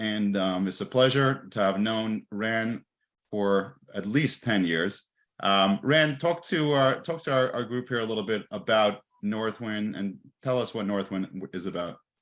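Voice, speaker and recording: At a moderate pace, a man talks in a normal speaking voice with medium pitch. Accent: American. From Boston area. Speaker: accounting firm partner, interviewer. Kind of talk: interview.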